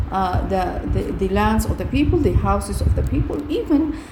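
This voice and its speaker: Noticeable background noise and audible room echo are both present in this recording. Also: woman. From Sudan. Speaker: activist. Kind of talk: recorded report.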